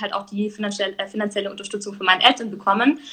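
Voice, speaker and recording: A woman's voice, fairly high in pitch. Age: 20s. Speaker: entrepreneur. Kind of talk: casual interview. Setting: live stream.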